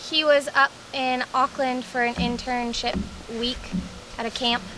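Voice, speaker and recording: In an American accent, the speaker talks at a very slow pace with fairly even intonation against noticeable background noise. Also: woman. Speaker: vlogger. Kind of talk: casual chat. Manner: hesitant with fillers.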